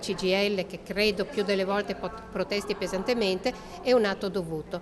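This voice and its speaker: Noticeable background noise runs under the speech. Delivery comes at a moderate pace. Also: woman. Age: 60s. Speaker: local politician. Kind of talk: press interview.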